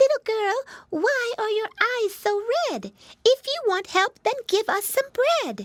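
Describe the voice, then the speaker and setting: Squeaky and extremely high-pitched, this put-on character voice moves at a fairly slow pace. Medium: read story.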